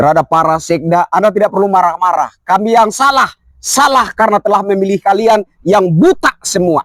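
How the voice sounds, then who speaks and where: The voice moves at a fairly quick pace with very even loudness. The sound is dry and close with no echo. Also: man, high pitch for a man, ordinary pitch variation. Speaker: activist commentator. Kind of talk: political commentary monologue.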